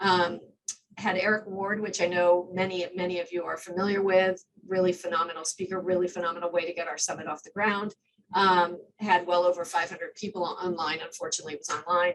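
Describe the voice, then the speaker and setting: Her voice fairly low, a woman speaks at a fairly quick pace with monotone, flat intonation and big swings in loudness. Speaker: community organization leader. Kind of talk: presentation. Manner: fast.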